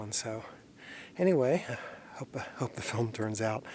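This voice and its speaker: A quiet man's voice at a medium pitch. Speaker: landscape photographer. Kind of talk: outdoor vlog narration; scripted narration. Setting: outdoors in a canyon. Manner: quiet, keeping voice down.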